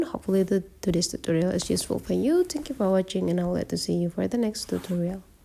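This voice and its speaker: A woman is speaking. She has a non-native accent. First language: not English. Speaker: tech tutorial creator. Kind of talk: tutorial.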